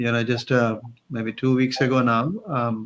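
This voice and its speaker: A man speaks with a Marathi accent at medium pitch. His intonation stays fairly even. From Maharashtra, India. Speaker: career coach. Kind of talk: interview.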